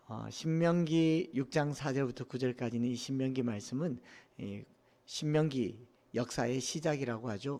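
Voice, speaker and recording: The speech comes in a Gyeongsang accent at a fairly slow pace. Its intonation is fairly even. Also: man. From Korea, Daegu (Gyeongsang region). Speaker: pastor. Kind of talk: sermon.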